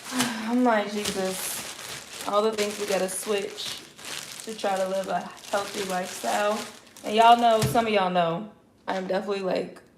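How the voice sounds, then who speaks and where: A voice with an American accent moves at a moderate pace. Audible room echo and noticeable background noise surround it. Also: woman. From Chicago. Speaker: lifestyle vlogger. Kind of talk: casual livestream chat. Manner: animated.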